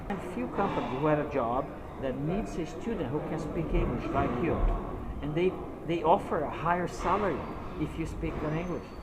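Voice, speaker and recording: With a Portuguese accent, a man talks at a fairly high pitch in a room with audible echo and noticeable background noise. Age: 50s. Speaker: English teacher. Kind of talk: casual chat. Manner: halting.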